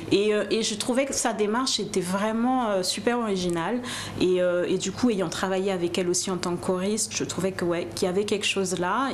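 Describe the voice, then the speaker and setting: Fairly quick speech from a woman, audible echo in the room and noticeable noise behind her. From raised in mainland France, Antillean family. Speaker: singer. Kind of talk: interview.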